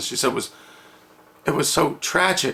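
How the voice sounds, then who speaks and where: A man speaks while noticeable background noise sounds behind him. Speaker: toy channel storyteller. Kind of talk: oral storytelling. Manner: halting.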